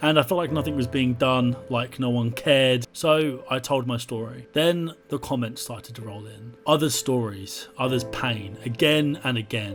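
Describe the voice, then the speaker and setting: Music in the background behind a man's medium-pitched voice with ordinary pitch variation, at a moderate pace. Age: 20s. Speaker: blind YouTuber making a documentary. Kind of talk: personal testimony; documentary narration.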